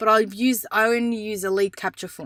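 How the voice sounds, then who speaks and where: A woman at a moderate pace, dry and close with no echo, on a very clean recording with a silent background. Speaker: photographer and business coach. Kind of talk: tutorial. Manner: casual, with fillers.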